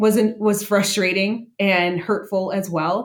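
This speaker has an unremarkable speaking voice with an American accent. The intonation stays fairly even. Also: woman. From Las Vegas, US. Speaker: hospitality consultant. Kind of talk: interview. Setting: video call.

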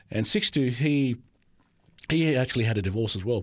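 Very clean recording with a silent background, featuring a man with an Australian accent, medium pitch and ordinary pitch variation. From Australia, Sydney. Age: 40s. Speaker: theology student. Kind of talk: testimony. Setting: studio.

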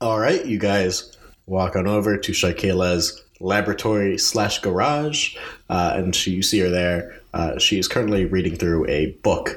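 Delivered at a moderate pace, this is a plain, everyday voice. Loudness stays very even, and pitch varies in an ordinary way. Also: man, fairly low pitch for a man. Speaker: dungeon master. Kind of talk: tabletop role-playing game podcast, narrating and voicing characters.

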